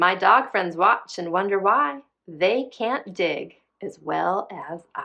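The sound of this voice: A woman talks at a slow pace with lively intonation and a medium pitch. Her voice has a slightly husky edge and some vocal fry.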